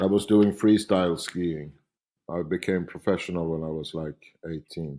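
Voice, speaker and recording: With a very deep, low pitch and a dark, mellow tone, a man talks at a moderate pace in fairly even intonation. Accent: Swedish. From Sweden, Stockholm. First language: Swedish. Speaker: painter. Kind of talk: interview. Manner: halting.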